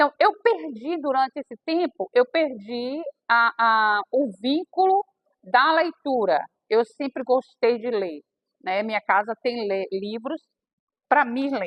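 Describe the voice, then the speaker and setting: Very slowly, a woman speaks in a high pitch. Her voice makes very wide pitch swings. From Bahia sertão, northeastern Brazil. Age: 60s. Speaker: aspiring author. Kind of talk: personal testimony at a reading circle.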